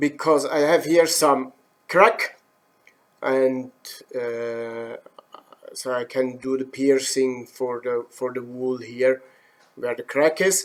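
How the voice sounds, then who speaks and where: In a Swiss German accent, a man speaks at a very slow pace and a medium pitch, with ordinary pitch variation and long, frequent pauses. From German-speaking Switzerland. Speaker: woodturning instructor. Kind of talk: live demo. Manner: halting, many fillers.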